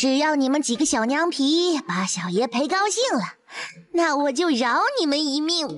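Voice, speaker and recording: Someone does a put-on character voice at a high pitch and a moderate pace. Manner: lecherous, arrogant, threatening.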